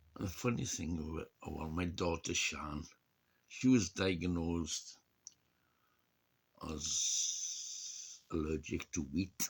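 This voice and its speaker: A man's very deep, low, somewhat breathy voice at a very slow pace, with ordinary pitch variation and long, frequent pauses. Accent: Welsh. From Wales. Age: 60s. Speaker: vlogger. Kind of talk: casual chat. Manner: halting.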